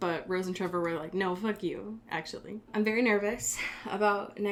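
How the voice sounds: The voice is a natural reading voice. Its pitch stays fairly level throughout.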